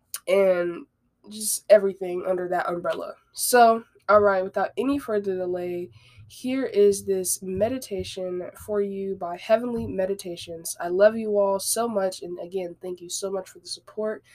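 This woman has an ordinary speaking voice at medium pitch, with ordinary pitch variation and a moderate pace. Her loudness swings widely. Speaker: podcast host. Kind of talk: casual solo podcast talk. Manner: conversational, rambling, with filler words.

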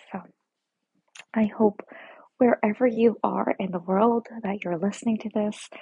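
In a whisper, the speaker goes at a fairly slow pace, with long, frequent pauses. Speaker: podcast host. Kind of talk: casual monologue. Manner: whispering; soft-spoken.

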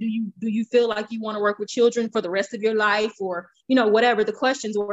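A woman talks at a fairly quick pace with a fairly high pitch.

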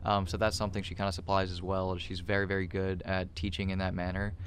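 A voice with a flat, monotone delivery comes through with audible room echo. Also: man. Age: 20s. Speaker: CBD company extraction lead. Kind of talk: casual interview.

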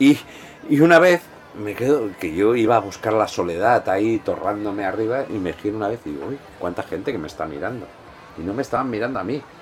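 With music in the background, a man with a Peninsular Spanish accent talks at a very fast pace in a fairly low pitch with lively intonation. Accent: Peninsular Spanish (Spain). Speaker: podcast host. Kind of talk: casual chat. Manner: animated.

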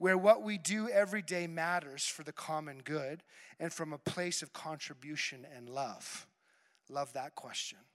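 A man with an ordinary speaking voice and fairly high pitch talks at a moderate pace with ordinary pitch variation. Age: 40s. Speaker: pastor. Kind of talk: sermon.

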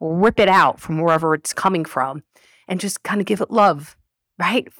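A woman speaks in a plain, everyday voice at medium pitch and moderate pace. Her pitch varies in an ordinary way, in a very clean recording with a silent background. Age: 40s. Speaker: podcast guest. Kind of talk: casual chat.

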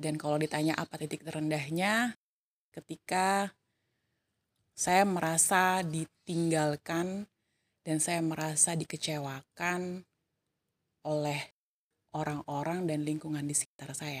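A woman with a very deep, low pitch speaks at a very slow pace, leaving long, frequent pauses, in a dry, close recording with no echo. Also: fairly even intonation. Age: 30s. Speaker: civil servant. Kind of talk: personal storytelling monologue.

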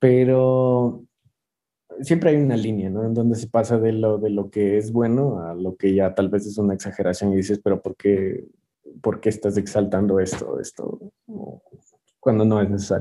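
Here a man speaks at a fairly low pitch and a moderate pace. His intonation stays fairly even. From Ecuador. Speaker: chef. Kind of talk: interview. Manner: halting, many repetitions.

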